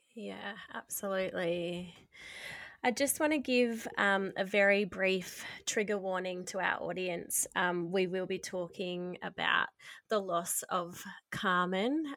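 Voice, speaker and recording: A woman with an Australian accent talks very slowly at a medium pitch with ordinary pitch variation, recorded very cleanly over a silent background. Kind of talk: casual interview chat.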